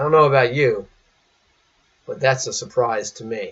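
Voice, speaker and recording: A man talks with very wide pitch swings. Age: 60s. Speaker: priest. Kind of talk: sermon.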